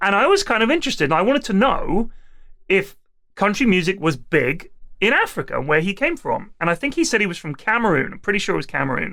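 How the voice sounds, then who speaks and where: In an English accent, a man projects a raised, high-pitched voice with a bright, sharp tone, speaking very fast with very wide pitch swings. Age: middle-aged. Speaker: comedy podcast host. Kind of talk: casual chat.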